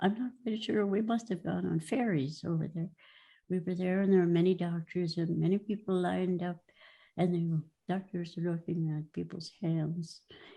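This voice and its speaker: Over a quiet background, the voice comes through dark and mellow, somewhat breathy, with fairly even intonation at a moderate pace. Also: woman, fairly low pitch for a woman. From Norway; Minnesota. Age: 80s+. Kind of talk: personal history talk. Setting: video call.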